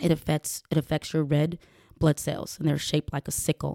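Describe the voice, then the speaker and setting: In a Georgia accent, a woman with a very deep, low pitch and a dark, mellow tone speaks in a monotone, flat intonation, the sound dry and close with no echo. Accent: Southern US, Georgia. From US South, rural south Georgia. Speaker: podcast host and professional boxer. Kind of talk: personal monologue, casual.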